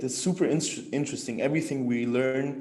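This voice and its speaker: Audible room echo fills the space. A man's voice sounds within it. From Egypt, Cairo. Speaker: university student. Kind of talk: interview. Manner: halting, many fillers.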